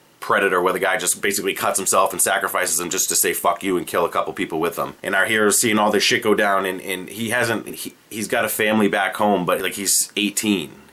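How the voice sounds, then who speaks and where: A man with a Boston accent at a very fast pace, with hardly any pauses. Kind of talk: casual comedic movie pitch to camera.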